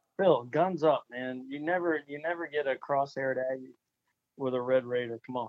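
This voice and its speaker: In a plain, everyday voice, a man with a fairly high pitch speaks at a moderate pace with fairly even intonation. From Florida. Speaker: high school football coach. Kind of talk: interview.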